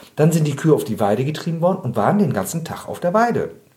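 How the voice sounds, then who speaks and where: A man talks very fast at a fairly high pitch. His tone is dark and mellow, with lively intonation. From Bremen, northern Germany. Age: 50s. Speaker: animal rights activist, trained butcher. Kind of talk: interview.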